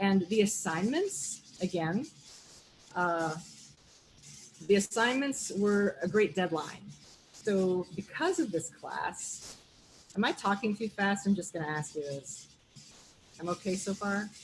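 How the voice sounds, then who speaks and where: Speaking at a fairly slow pace with long, frequent pauses, a woman uses lively intonation at a medium pitch in a somewhat breathy voice. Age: 50s. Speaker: visual artist and art teacher. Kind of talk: art talk presentation.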